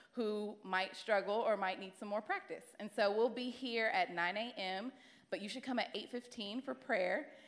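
At a moderate pace, a woman speaks in a passionate tone at a fairly high pitch with ordinary pitch variation, over noticeable background noise. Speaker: church class leader. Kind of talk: church announcement. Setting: church with congregation.

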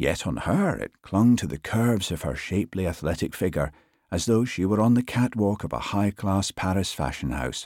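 Someone simply reads the text aloud, plainly.

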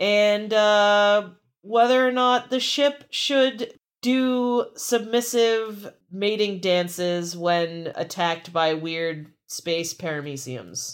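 Speaking very slowly with lively intonation, a woman at medium pitch comes through on a very clean recording with a silent background. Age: 30s. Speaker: podcast host. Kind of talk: casual chat.

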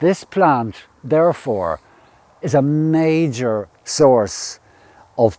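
A man with an Irish accent and a dark, mellow tone speaks very slowly with lively intonation. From northern Ireland. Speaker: ecologist guide. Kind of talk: guided nature walk. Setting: outdoors.

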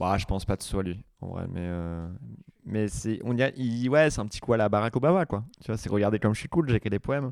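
Talking at a fairly quick pace, a man with an unremarkable speaking voice keeps a fairly low pitch and ordinary pitch variation. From Vienne, France. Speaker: comedian. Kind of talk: casual chat. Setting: studio.

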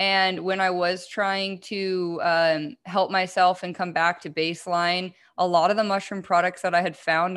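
A woman's fairly low voice, monotone and flat, over a quiet background. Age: 20s. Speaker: mushroom product business owner. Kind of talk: casual chat.

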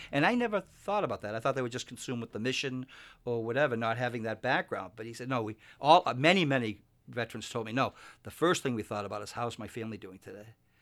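With an American accent, a man speaks at a very fast pace with a medium pitch and ordinary pitch variation. His loudness swings widely. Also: very clean recording, silent background. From Massachusetts, Boston area. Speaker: investment advisor. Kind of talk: radio interview. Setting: radio studio.

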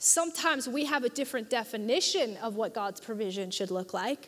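A woman talks in an animated tone at a moderate pace. Her pitch is high. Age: 20s. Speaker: youth pastor. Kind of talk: sermon. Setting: church with live congregation.

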